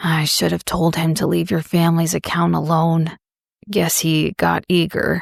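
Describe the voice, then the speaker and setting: A woman uses a put-on character voice, raspy and fairly low in pitch. She keeps a moderate pace and very even loudness. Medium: read story. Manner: calm, careful.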